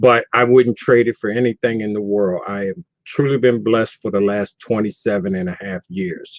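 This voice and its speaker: A man with a normal speaking voice talks at a moderate pace and a medium pitch with ordinary pitch variation. The sound is dry and close, with no echo. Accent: American. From US East Coast (Baltimore). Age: 60s. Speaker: person in long-term recovery. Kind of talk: testimony.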